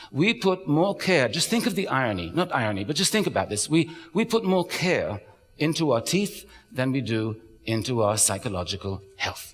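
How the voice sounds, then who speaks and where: Music plays in the background as a man with a slight British accent speaks at a moderate pace with very wide pitch swings. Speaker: psychologist and author giving a talk. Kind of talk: public talk.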